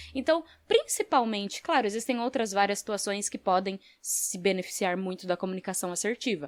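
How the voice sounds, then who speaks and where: Here is an ordinary speaking voice from a woman at medium pitch, talking at a fairly quick pace with lively intonation. The recording is very clean with a silent background and a dry, close sound with no echo. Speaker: podcast host. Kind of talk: solo podcast talk. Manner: casual.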